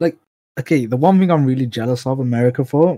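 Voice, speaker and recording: A man at medium pitch with ordinary pitch variation, a dark, mellow tone and a fairly quick pace, in a very clean recording with a silent background. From Birmingham, England. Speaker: guest. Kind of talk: casual chat.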